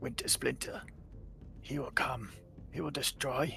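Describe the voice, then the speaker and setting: Over clear background music, a put-on character voice with a low-to-middle pitch moves along at a moderate pace. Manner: menacing.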